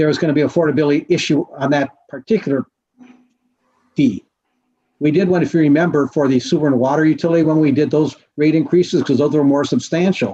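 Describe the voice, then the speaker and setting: This man talks at a very fast pace in a fairly high pitch, his tone dark and mellow, his loudness very even and his pitch variation ordinary. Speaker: municipal finance consultant. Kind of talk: presentation to city council. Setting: teleconference.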